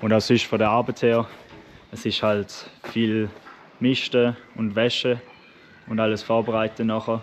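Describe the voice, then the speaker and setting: Light background noise runs under a man's fairly low voice. He keeps a monotone, flat intonation at a moderate pace. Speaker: farmer vlogger. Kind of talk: casual vlog chat. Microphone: phone near.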